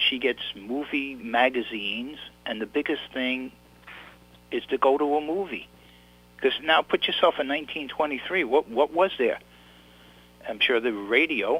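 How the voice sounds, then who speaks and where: A man with a New York accent speaks at a fairly high pitch, leaving long, frequent pauses. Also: ordinary pitch variation, moderate pace. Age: 60s. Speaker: author. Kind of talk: interview. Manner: halting, repeats words.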